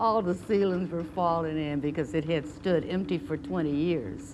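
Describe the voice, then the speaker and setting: At a moderate pace, a woman in an American accent talks with ordinary pitch variation. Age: 80s+. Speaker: retired volunteer at a cultural center. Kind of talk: interview testimony.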